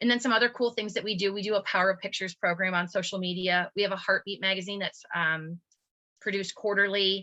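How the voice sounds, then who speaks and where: Bright and sharp in tone, a woman speaks at a medium pitch and very fast pace with monotone, flat intonation, the sound dry and close with no echo. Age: 40s. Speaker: support group volunteer, heart patient's parent. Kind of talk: webinar presentation.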